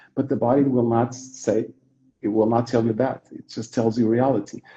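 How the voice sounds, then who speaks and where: With a Portuguese accent, a man speaks at medium pitch and a moderate pace in a somewhat breathy, dark, mellow tone. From Portugal. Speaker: yoga teacher. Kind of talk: casual conversation. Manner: repetitive, halting.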